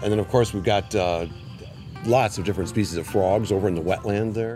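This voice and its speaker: Faint music plays behind a man speaking at a fairly quick pace. His pitch shows ordinary variation. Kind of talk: interview answer. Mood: warm, concerned about decline. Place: garden. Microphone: lapel.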